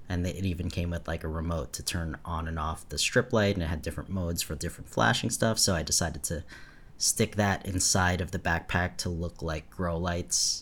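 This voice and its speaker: A man with a very deep, low pitch at a fairly quick pace, ordinary pitch variation, very clean recording with a silent background. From suburbs. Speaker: podcast co-host. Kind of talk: casual chat.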